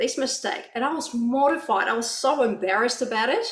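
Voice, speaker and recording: With a non-native accent, a woman speaks high-pitched at a fairly quick pace, amid noticeable background noise and audible room echo. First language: not English. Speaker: author. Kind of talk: panel discussion. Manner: hesitant, many fillers.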